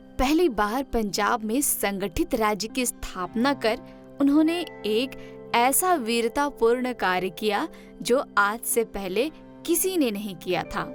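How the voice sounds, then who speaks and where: With music in the background, a woman talks at a fairly high pitch with lively intonation. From Jharkhand, India. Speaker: radio presenter. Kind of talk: history narration.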